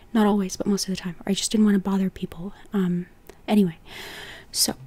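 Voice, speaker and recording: The voice is quiet and moves at a very fast pace. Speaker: style and body type consultant. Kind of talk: casual video tutorial. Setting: home recording at night. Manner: quiet, hushed at night; animated.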